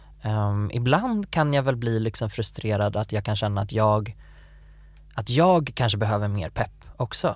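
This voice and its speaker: A very clean recording with a silent background, at a fairly slow pace. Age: 20s. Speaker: podcast co-host. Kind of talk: casual chat.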